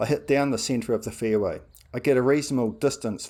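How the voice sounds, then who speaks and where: This man talks at a fairly quick pace with a New Zealand accent and ordinary pitch variation, in a very clean recording with a silent background. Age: 60s. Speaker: amateur golfer. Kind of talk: scripted narration.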